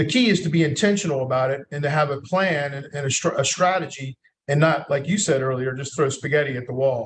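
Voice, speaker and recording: Somewhat breathy speech in a Southern US accent rushes by at a very fast pace. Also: man, fairly high pitch for a man, ordinary pitch variation. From North Carolina, USA. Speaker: marketing executive, agency founder. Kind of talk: podcast interview answer.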